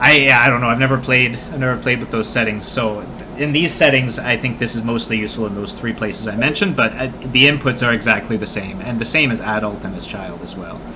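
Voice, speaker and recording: A man with a Canadian accent and medium pitch, very fast with hardly any pauses and ordinary pitch variation, amid noticeable background noise and audible room echo. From Canada. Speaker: video game speedrun teacher streamer. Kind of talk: live-stream gameplay tutorial. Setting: live stream. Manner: casual, with many fillers (uh, um).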